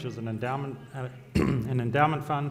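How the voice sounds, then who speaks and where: The speaker has an Australian accent and fairly even intonation. Audible room echo surrounds the voice. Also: man. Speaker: fund manager. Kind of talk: panel discussion.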